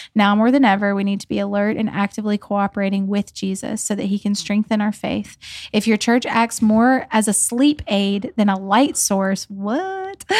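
In a very clean recording with a silent background, a woman speaks at a medium pitch with fairly even intonation. It is an ordinary speaking voice, with a dry, close sound with no echo. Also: moderate pace. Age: 30s. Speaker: podcast host. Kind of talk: casual chat. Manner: laughs often.

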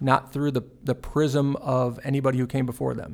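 On a very clean recording with a silent background, a man with an American accent and a normal speaking voice talks at medium pitch with fairly even intonation. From Texas (Fort Worth). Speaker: police chief. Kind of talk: interview.

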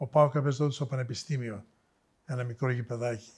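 In a very clean recording with a silent background, a man speaks in a somewhat breathy voice. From Thessaloniki, northern Greece. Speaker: biotech executive. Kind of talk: interview.

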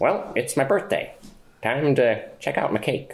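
Doing a put-on character voice, a man talks at a moderate pace with very even loudness. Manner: bumbling.

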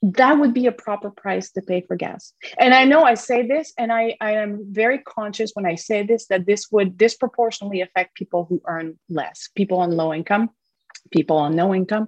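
Dry and close with no echo, a woman with a plain, everyday voice talks fairly quickly at a medium pitch with lively intonation. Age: 50s. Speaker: newspaper columnist and author. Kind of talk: interview.

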